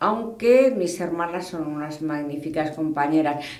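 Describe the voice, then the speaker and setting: Audible room echo surrounds a woman who speaks at a very slow pace with ordinary pitch variation. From Spain, Toledo. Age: 60s. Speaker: hunting club president. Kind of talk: interview. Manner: conversational, with hesitations.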